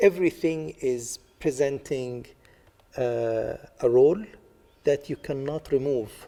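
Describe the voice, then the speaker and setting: Speaking very slowly with an Arabic accent, a man has a fairly high pitch and a dark, mellow tone. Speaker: artist. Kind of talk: interview. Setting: library. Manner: halting, many fillers.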